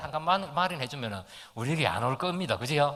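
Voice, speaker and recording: With a strong Gyeongsang accent, this man talks at a fairly high pitch, his bright, sharp tone carried by lively intonation. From Gyeongsang region, South Korea. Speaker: pastor. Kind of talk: sermon.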